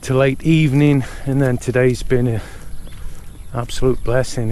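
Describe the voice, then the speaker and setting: A man with a British accent speaks in a dark, mellow tone with monotone, flat intonation. Long pauses come often, and room echo is audible. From Britain. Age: 50s. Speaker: vlogger. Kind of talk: casual vlog chat. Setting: outdoors at a resort.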